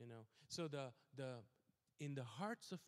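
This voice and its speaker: Speaking at a very slow pace, a man with a medium pitch and ordinary pitch variation comes across in a dry, close sound with no echo. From South Asia. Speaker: pastor. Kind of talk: sermon. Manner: halting, many fillers.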